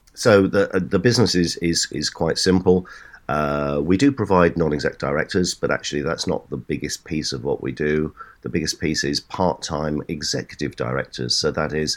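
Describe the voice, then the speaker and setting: A man's very deep, low voice with vocal fry and lively intonation at a moderate pace. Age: 60s. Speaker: serial entrepreneur and business advisor. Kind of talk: interview. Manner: halting, frequent repeated words.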